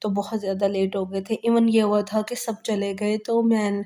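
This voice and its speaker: A woman's medium-pitched, monotone voice with flat intonation at a moderate pace, on a very clean recording with a silent background. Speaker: vlogger. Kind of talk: vlog voice-over narration.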